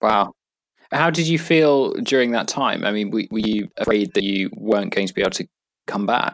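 In a normal speaking voice, a man talks at a moderate pace with lively intonation and medium pitch, the sound dry and close with no echo. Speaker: podcast co-host. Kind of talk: interview.

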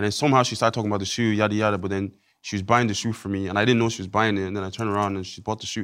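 Very fast and flat in intonation, a man speaks in a very clean recording with a silent background. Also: fairly low pitch for a man. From Ireland. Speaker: reality TV show winner.

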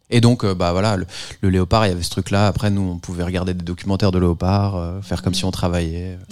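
A man's very deep, low voice, monotone and flat, at a very fast pace, in a very clean recording with a silent background. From France, Paris. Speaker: musician. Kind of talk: casual chat.

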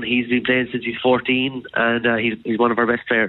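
Medium-pitched man at a fairly quick pace amid noticeable background noise. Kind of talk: radio interview chat, explaining a sport. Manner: warm, enthusiastic, fairly measured.

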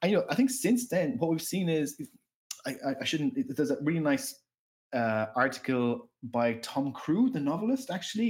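Here is a man with an Irish accent at a very fast pace. His pitch variation is ordinary. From Ireland. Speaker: professor. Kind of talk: casual interview chat. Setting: remote call. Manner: halting, many repetitions and fillers.

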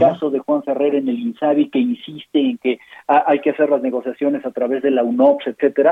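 With very wide pitch swings, a man keeps to a moderate pace. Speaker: physician and health policy author. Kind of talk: interview. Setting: phone call.

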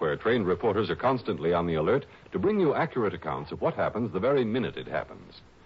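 A man speaks at a fast pace with big pitch swings.

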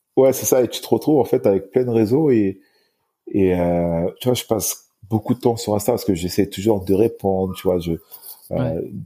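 A man speaks in a dark, mellow tone at a fairly low pitch. His pitch variation is ordinary. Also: moderate pace. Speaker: para-athlete bodybuilder. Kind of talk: casual chat. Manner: halting.

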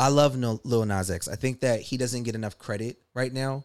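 An unremarkable speaking voice from a man with an American accent, medium pitch and ordinary pitch variation, in a very clean recording with a silent background. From US East Coast. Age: 30s. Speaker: rapper. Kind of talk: casual chat.

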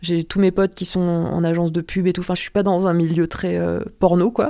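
Moving at a fairly quick pace, a woman speaks with a fairly low pitch and a dark, mellow tone in monotone, flat intonation. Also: very clean recording, silent background. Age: 30s. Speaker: adult film performer. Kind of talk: personal testimony. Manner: hesitant, many fillers.

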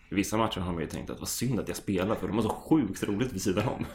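The male speaker rattles along very fast, with normal shifts in pitch. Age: 20s. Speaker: amateur footballer. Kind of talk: casual chat.

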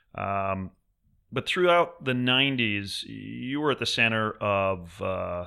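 A man with an unremarkable speaking voice talks at a fairly slow pace in a fairly low pitch with lively intonation, recorded very cleanly against a silent background. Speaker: fashion lawyer and podcast host. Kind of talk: casual interview.

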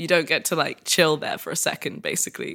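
A woman with a British accent speaks in a fairly low, bright and sharp voice with flat, monotone intonation, recorded very cleanly over a silent background. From UK. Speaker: yoga practitioner and content creator. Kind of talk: interview.

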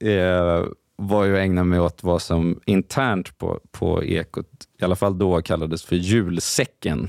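A man with a very deep, low voice speaks at a fairly slow pace and very even loudness, his intonation fairly even, in a very clean recording with a silent background and a dry, close sound with no echo. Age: 30s. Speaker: journalist. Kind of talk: casual chat.

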